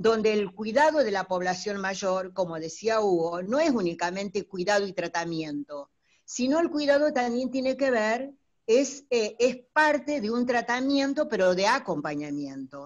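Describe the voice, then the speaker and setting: A woman with a fairly high pitch speaks at a fairly slow pace, her voice making very wide pitch swings. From Buenos Aires, Argentina. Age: 60s. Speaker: teacher and gerontology student. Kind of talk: audience comment in online talk. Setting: video call from home. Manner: halting, many fillers.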